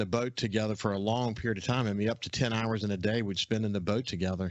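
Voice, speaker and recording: Talking very fast, a man speaks with a Southern US accent. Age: 60s. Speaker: outdoors radio host. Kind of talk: casual radio interview chat. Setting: radio studio.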